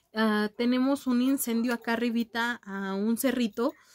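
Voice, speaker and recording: Over a quiet background, a woman talks at a fairly slow pace with a Mexican accent. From Mexico. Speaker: beauty youtuber. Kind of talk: casual vlog chat. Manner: animated. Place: home room. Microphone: webcam.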